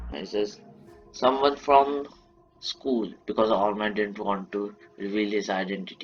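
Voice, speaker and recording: A man speaks in an Indian accent with a fairly low pitch and ordinary pitch variation. His pace is fairly slow, and there is noticeable background noise. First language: Marathi. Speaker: YouTuber telling fan-fiction stories. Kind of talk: improvised storytelling. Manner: halting, frequent self-corrections.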